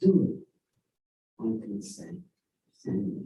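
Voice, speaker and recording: A somewhat breathy man with a dark, mellow tone and very wide pitch swings, at a fairly slow pace, with audible room echo. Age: 70s. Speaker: dharma teacher. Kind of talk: sermon.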